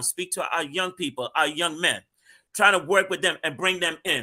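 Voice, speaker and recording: Raised and projected, a man's high voice has a bright, sharp tone. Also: very clean recording, silent background. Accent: American. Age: 60s. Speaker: street minister. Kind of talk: panel discussion.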